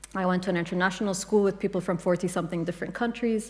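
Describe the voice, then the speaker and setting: A woman with an Arabic accent. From Kuwait. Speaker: writer and translator. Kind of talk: panel discussion. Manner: halting, many fillers.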